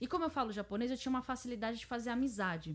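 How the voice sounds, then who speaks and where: On a very clean recording with a silent background, a woman speaks at a fairly high pitch, somewhat breathy, with lively intonation. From Japan (Brazilian-born, raised in Japan from age 3). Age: 30s. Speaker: YouTuber. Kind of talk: casual chat.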